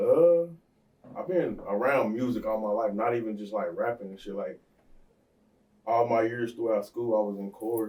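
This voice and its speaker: A man speaks at a moderate pace in a dark, mellow tone at a medium pitch, with ordinary pitch variation. His loudness swings widely, and he takes long, frequent pauses. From North Carolina (Statesville). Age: 20s. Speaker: rapper. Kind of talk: casual chat. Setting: studio.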